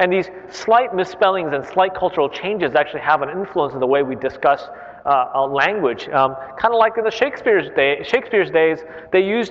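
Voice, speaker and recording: Amid noticeable background noise, a man with a Korean accent talks very fast at a high pitch with lively intonation. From Korea, then China, then California. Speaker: CEO and speaker. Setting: library stage with audience.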